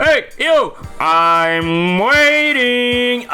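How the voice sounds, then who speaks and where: At a fairly high pitch, someone performs a put-on character voice. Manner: gruff, impatient.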